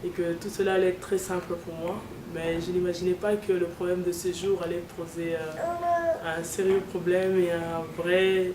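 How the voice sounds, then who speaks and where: The delivery is monotone and flat, at a fairly slow pace. Both background noise and room echo are noticeable. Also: woman. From DR Congo. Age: 30s. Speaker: seamstress. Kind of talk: interview testimony. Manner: halting.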